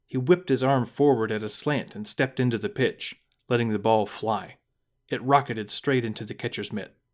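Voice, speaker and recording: The background is silent and the recording very clean. A man with a medium pitch talks at a moderate speed. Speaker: podcast narrator. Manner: animated, expressive storyteller with shifting character voices.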